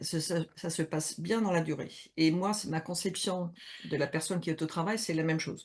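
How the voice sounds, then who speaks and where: A woman speaks with a very deep, low pitch and vocal fry. The background is quiet. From Switzerland, mountains. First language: not French (speaking French). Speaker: HR consultant and coach, game co-author. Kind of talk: interview on Instagram live. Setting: Instagram live video call. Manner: hesitant, many fillers.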